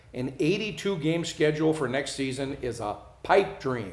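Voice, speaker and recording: Audible room echo around a man's speech. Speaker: show host. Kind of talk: news read and commentary. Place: studio.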